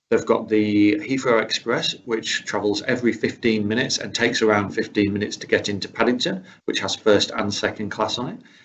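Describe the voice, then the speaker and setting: A man with a British accent talks at a fairly quick pace. His pitch sits in the medium range. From UK. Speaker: rail travel specialist presenter. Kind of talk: webinar presentation. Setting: online webinar.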